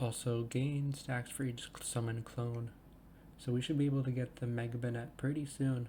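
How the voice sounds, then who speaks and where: Speaking at a moderate pace, a man with a medium pitch has a dark, mellow tone, a somewhat breathy quality and monotone, flat intonation. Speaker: gaming video creator. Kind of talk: gameplay commentary. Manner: stumbles over words; casual, hesitant with fillers.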